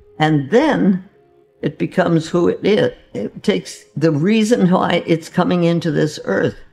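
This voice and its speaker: A woman at a fairly slow pace, with faint music in the background. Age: 80s+. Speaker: holistic physician. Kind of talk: interview answer.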